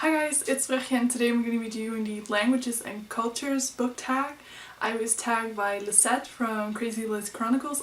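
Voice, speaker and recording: Woman with a Dutch accent, fairly high pitch, fairly even intonation, and a moderate pace. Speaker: book vlogger. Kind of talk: casual vlog.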